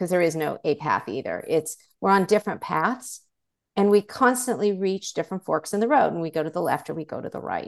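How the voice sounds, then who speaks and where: A woman talks in a normal speaking voice, medium in pitch with lively intonation. She keeps a fairly quick pace against a quiet background. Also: dry, close sound with no echo. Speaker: life coach, former TV network executive. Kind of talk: casual interview chat.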